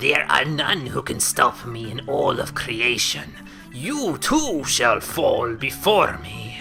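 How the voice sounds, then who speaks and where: A man uses a put-on character voice at a very slow pace. Clear music plays in the background. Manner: menacing, grandiose.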